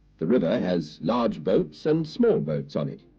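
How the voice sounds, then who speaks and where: Very wide pitch swings and vocal fry mark the way this man talks. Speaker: newsreader and narrator. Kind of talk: children's TV narration.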